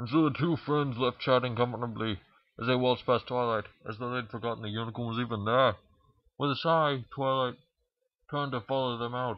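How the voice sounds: A man talks at a fairly quick pace in a medium pitch. His intonation stays fairly even.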